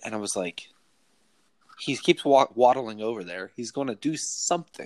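A man with an American accent and an unremarkable speaking voice, medium pitch, and lively intonation, in a dry, close sound with no echo. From US Midwest (Ohio). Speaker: podcast host. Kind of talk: casual chat.

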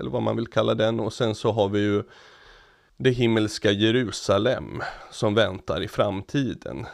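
Against a quiet background, a man with a fairly low pitch talks at a fairly slow pace with ordinary pitch variation. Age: 30s. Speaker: podcast co-host. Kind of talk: casual chat. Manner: halting.

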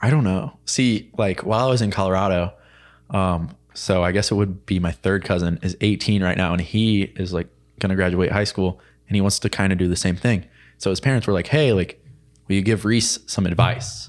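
This man has a plain, everyday voice with an American accent and ordinary pitch variation, captured in a very clean recording with a silent background. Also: fairly low pitch for a man, moderate pace, very even loudness. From central Illinois, US Midwest. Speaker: college student. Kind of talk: casual chat.

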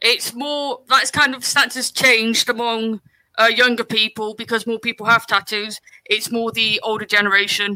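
In a dry, close recording with no echo, a man with an extremely high pitch speaks in a raised, projected voice with a bright, sharp tone, a monotone, flat intonation and a moderate pace. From West Country England. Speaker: podcast co-host and editor. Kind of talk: casual chat.

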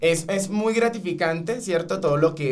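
Speech at a fairly quick pace with ordinary pitch variation and audible room echo. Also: man. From Venezuela, Caracas. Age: 20s. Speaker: call center sales agent. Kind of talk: podcast interview.

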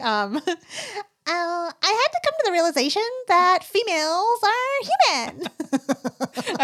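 A woman uses a put-on character voice with an extremely high pitch. She speaks at a very slow pace with very wide pitch swings.

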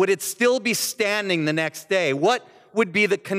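The text is read aloud plainly. Its intonation stays lively.

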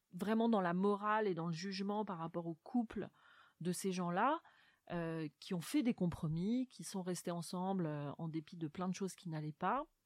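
In a dry, close sound with no echo, a woman speaks at a medium pitch with ordinary pitch variation. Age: 40s. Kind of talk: literary interview. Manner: halting, frequent word repetitions and fillers.

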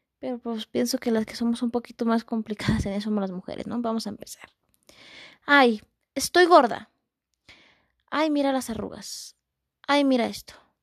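A woman speaks at a fairly high pitch with big swings in loudness. Her speech has long, frequent pauses. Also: ordinary pitch variation, moderate pace. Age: 20s. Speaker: podcast host, visually impaired musician. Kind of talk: motivational talk. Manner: repetitive, warm.

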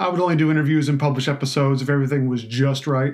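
A man's fairly high, monotone, flat voice at a very fast pace, in a very clean recording with a silent background. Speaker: wine podcast host and writer. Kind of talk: solo podcast trailer monologue. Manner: halting, filler-heavy, self-deprecating.

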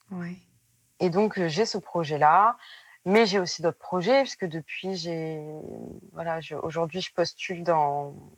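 On a very clean recording with a silent background, a woman with fairly low pitch speaks very slowly, with long, frequent pauses, big swings in loudness and ordinary pitch variation. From southwestern France, Périgueux. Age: 20s. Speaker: former nurse turned seamstress. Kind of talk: interview testimony.

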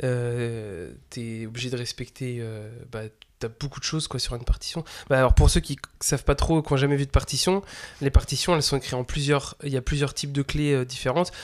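Recorded very cleanly against a silent background, a man with an unremarkable speaking voice talks at a fairly quick pace, medium in pitch with ordinary variation and big swings in loudness. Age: 20s. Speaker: drum teacher and podcast host. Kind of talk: casual chat.

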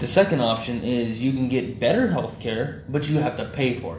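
With an American accent, a man speaks at a moderate pace and medium pitch, using ordinary pitch variation over noticeable background noise. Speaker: podcast host. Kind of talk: casual banter podcast chat. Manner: profane, joking.

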